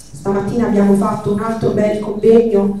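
A woman delivers her words at a moderate pace in monotone, flat intonation, with strong room echo. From central Italy, Marche. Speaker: activist organizer. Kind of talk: event moderation. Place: hall.

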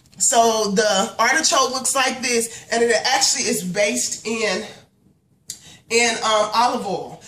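A woman's voice comes with audible room echo. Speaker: home cook vlogger. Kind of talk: casual vlog chat. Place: kitchen. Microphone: phone near.

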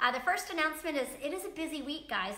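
A raised, projected voice moves at a fairly quick pace amid audible room echo. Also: woman. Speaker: pastor. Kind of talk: sermon. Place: church. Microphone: camera far.

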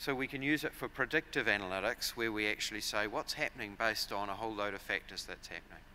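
A man with a New Zealand accent speaks at a very fast pace with hardly any pauses, his fairly low, bright, sharp voice showing ordinary pitch variation against light background noise. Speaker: agricultural software company director. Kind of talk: conference presentation. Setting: stage with audience. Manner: frequent fillers and repetitions. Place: hall. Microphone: podium.

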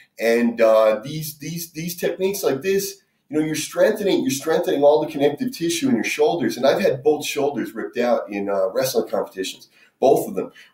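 A man speaks at a fairly quick pace. The background is quiet, though room echo is audible. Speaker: fitness instructor. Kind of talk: tutorial. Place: kitchen. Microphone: camera far.

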